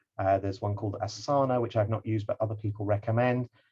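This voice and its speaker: The voice belongs to a man. There is some breathiness to it. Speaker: project management trainer. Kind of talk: online lecture. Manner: fast; hesitant, many fillers.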